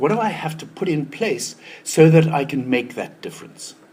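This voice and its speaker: Lively in intonation, a man talks at a fairly quick pace amid noticeable background noise. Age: 60s. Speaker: retirement transition consultant. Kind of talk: talk to an audience. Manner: halting, repeats words.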